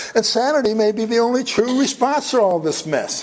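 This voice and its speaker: A man with an extremely high pitch talks at a moderate pace over noticeable background noise. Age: 70s. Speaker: author. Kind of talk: reading aloud.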